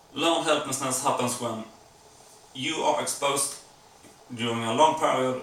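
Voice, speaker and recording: With a non-native accent, a man talks at a medium pitch and a moderate pace amid noticeable background noise and audible room echo. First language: not English. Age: 40s. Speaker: vlogger. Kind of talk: casual vlog monologue. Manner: hesitant, with fillers.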